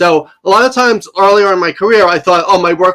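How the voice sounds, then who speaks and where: A man speaks loudly at a fairly quick pace. His pitch is high. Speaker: live stream viewer asking a question. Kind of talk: live Q&A question. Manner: fast.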